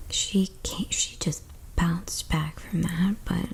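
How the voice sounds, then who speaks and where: Soft-spoken and very slow, the voice comes through over noticeable background noise. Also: woman. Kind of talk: ASMR storytime.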